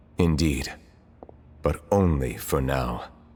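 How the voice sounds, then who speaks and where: A put-on character voice from a man, pitched very deep and low. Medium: video game. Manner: formal, grave.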